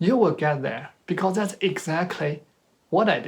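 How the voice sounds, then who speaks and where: Someone speaks with a Chinese accent at a fairly slow pace. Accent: Chinese accent, noticeable. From China. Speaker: speaker at professional talk. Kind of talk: presentation talk. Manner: halting, with self-corrections.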